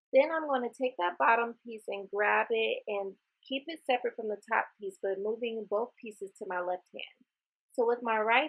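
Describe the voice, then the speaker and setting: An unremarkable speaking voice moves at a moderate pace. It has ordinary pitch variation. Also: woman. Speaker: beauty vlogger. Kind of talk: tutorial.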